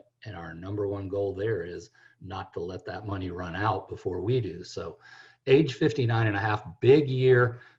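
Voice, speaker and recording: A man speaks in a fairly low, somewhat breathy voice. The background is quiet. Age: 60s. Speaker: financial planner. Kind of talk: radio talk show.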